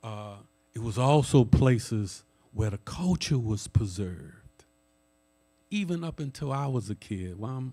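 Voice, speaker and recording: In a New Orleans accent, a man with a dark, mellow tone speaks at a fairly slow pace with ordinary pitch variation. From New Orleans, Louisiana. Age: 60s. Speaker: jazz historian. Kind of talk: lecture. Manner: conversational.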